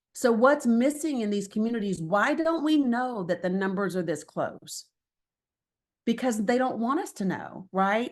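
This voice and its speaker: In an Appalachian accent, a woman talks with lively intonation at a fairly high pitch. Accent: Southern US (Appalachian). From Northeast Tennessee / Southwest Virginia. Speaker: political organizer. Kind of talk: presentation. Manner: fast.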